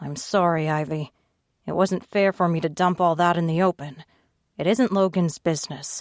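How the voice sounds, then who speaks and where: A woman puts on a character voice that is raspy and growling, fairly low in pitch, at a moderate pace. The recording is very clean with a silent background. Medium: read story.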